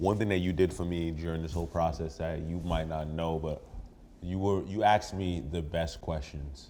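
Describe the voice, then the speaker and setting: A man with a New York accent speaks at a moderate pace in a very deep, low pitch and a dark, mellow tone, with audible room echo. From New York (Brooklyn). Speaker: rapper. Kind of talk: casual chat. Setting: in a house with friends over food. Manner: animated.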